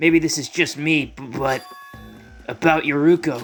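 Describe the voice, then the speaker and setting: A man puts on a raspy character voice, fairly high in pitch. He talks at a moderate pace with faint music in the background. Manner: nervous, stuttering.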